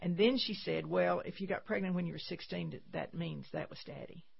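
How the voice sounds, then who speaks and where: A woman with a Texan accent talks at a moderate pace. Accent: Texan Southern US. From Texas. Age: 70s. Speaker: pro-life nonprofit founder. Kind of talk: radio interview. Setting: studio.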